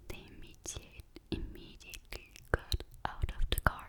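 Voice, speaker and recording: Whispering at a fairly slow pace, the speaker is heard over noticeable background noise. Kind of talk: ASMR story reading. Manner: whispered.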